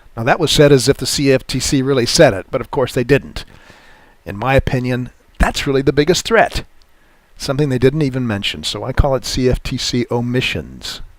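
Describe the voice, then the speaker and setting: At a fairly quick pace, a man in a normal speaking voice talks at a medium pitch with ordinary pitch variation. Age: 60s. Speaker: futures trading educator. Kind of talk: webinar presentation. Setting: online webinar. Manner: casual with frequent fillers.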